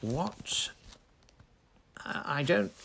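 A man's put-on character voice, fairly high in pitch, with lively intonation, a slightly husky edge, vocal fry and a very slow pace

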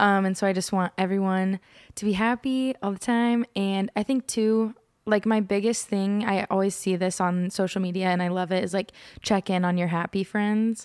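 A woman with an American accent has a normal speaking voice, medium in pitch, with fairly even intonation and very even loudness. She talks at a moderate pace in a very clean recording with a silent background. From Oklahoma, Norman. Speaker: musician. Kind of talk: casual interview chat.

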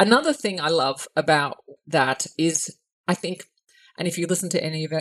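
A woman with an Australian accent speaks at a moderate pace and a fairly low pitch. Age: 50s. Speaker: podcast host. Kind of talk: casual interview chat.

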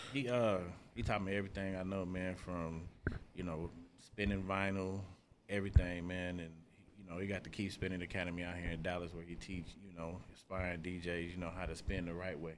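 A man speaks at a fairly quick pace in a very deep, low voice. His intonation is monotone and flat, with audible room echo. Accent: American. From Wichita, Kansas. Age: 40s. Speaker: DJ. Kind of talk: casual chat.

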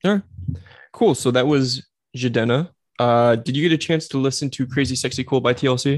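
Over a quiet background, a man talks in an ordinary speaking voice at a medium pitch and fairly quick pace, with ordinary pitch variation. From New Jersey. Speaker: podcast host. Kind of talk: casual banter. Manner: joking, playful.

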